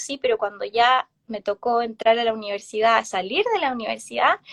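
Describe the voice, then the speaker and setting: A woman is speaking. Her pace is moderate. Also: dry, close sound with no echo. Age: 30s. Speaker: therapist and tarot reader. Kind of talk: casual interview chat. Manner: hesitant, many fillers.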